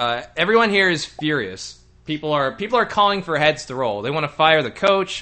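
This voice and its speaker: With an American accent, a man speaks at a fairly quick pace in a fairly high pitch, his voice making very wide pitch swings. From Texas. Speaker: call-in show host. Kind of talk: casual call-in chat.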